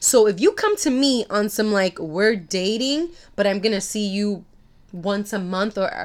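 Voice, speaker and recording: A woman's unremarkable speaking voice, medium in pitch with ordinary pitch variation, at a moderate pace in a very clean recording with a silent background. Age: 30s. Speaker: podcast co-host. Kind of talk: casual chat.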